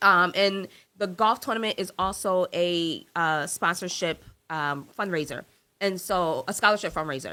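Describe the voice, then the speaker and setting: A woman with an American accent, medium pitch, ordinary pitch variation, a bright, sharp and animated tone, moderate pace, very clean recording with a silent background. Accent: New York accent, slips out. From New York. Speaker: entrepreneur, marketing agency owner. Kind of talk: podcast interview.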